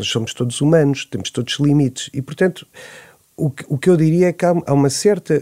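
Fairly quick speech with ordinary pitch variation and a dry, close sound with no echo. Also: man, fairly high pitch for a man. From Portugal, Nazaré. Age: 40s. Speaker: urban planner, debate guest. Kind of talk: radio panel discussion. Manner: halting, many repetitions.

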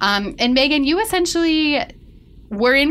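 An ordinary speaking voice from a woman, with lively intonation at a moderate pace. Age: 30s. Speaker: podcast host, magazine editor. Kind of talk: casual chat.

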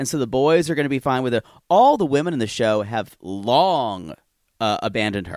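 Over a silent background in a very clean recording, a man with a plain, everyday voice speaks at a medium pitch and fairly quick pace, his intonation lively. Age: 40s. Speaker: podcast host. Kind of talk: casual chat, recap banter.

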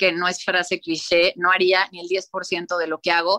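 A woman of medium pitch has a bright, sharp tone, recorded with a dry, close sound and no echo. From Mexico City. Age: 40s. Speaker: interior designer and author. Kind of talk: interview. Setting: video call.

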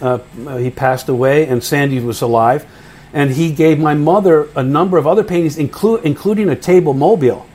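Fairly quick speech from a man with an American accent, noticeable background noise behind it. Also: fairly high pitch for a man, ordinary pitch variation. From US Northeast (New Jersey / New York area). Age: 60s. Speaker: audiobook narrator and actor. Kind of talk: interview conversation. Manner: hesitant, many fillers.

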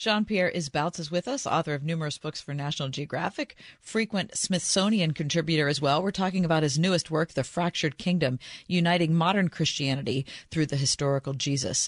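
With an ordinary speaking voice, a woman talks at a fairly quick pace with a fairly low pitch and ordinary pitch variation, the sound dry and close with no echo over a quiet background. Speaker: radio co-host. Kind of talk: casual chat. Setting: studio.

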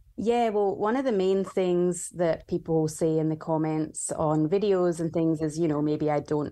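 Over a quiet background, a woman with a Scottish accent speaks fairly slowly at a fairly low pitch with ordinary pitch variation, a dark, mellow tone, very even loudness and hardly any pauses. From Scotland. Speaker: bartender and cocktail book author. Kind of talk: interview.

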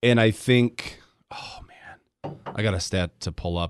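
A man talks with lively intonation at a medium pitch. The sound is dry and close with no echo, over a quiet background. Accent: American. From Michigan, Grand Rapids. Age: 30s. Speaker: sports radio host. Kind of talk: casual sports chat.

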